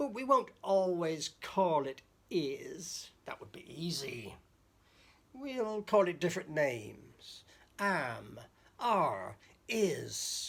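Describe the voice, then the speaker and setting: A put-on character voice at a middle pitch, very slow and broken by long, frequent pauses. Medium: read story. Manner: scheming, gleeful.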